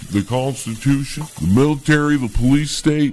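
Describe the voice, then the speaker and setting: Here a man talks at a moderate pace and medium pitch. He has a normal speaking voice. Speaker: comedian. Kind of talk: mock field reporting.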